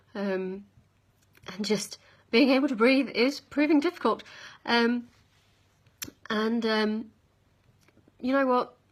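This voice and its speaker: A woman speaks very slowly with a British accent, her fairly high voice moving with ordinary pitch variation and broken by long, frequent pauses. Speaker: vlogger. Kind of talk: product review vlog. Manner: halting, many ums.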